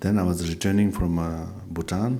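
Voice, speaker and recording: In a South Asian accent, a man talks with a very deep, low pitch and fairly even intonation. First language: not English. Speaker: Buddhist teacher. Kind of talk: dharma talk with questions and answers. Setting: teaching event with audience. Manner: halting with fillers.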